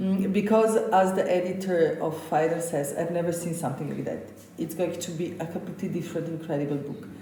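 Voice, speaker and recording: A woman with a fairly low pitch and fairly even intonation talks at a fairly quick pace, with audible room echo and noticeable background noise. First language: Slovenian. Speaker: chef. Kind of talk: interview.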